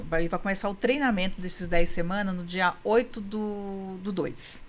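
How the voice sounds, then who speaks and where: At a moderate pace, a woman uses an ordinary speaking voice of medium pitch with ordinary pitch variation. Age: 60s. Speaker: couples therapist and women's coach. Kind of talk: podcast interview.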